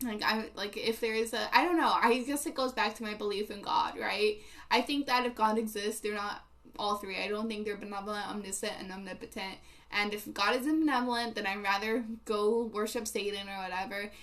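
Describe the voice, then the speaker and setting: A woman with a non-native accent and a fairly high pitch talks at a fairly quick pace with ordinary pitch variation. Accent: non-native English, mispronounces words. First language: not English. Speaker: livestreamer. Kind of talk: casual chat with live chat readers. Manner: halting, many fillers.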